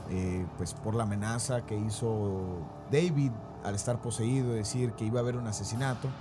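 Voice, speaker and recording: Amid noticeable background noise and audible room echo, a man talks at a medium pitch and moderate pace with ordinary pitch variation. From Mexico, raised by Argentine parents. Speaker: podcast host. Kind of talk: storytelling about paranormal case.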